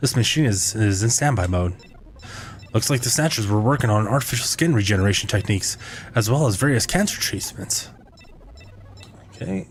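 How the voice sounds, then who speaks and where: Music plays in the background as a man speaks at a fairly low pitch. He takes long, frequent pauses. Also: lively intonation, fairly quick pace. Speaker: video game streamer. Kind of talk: live gameplay stream, reading game text aloud. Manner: halting, stumbles over words when reading; casual.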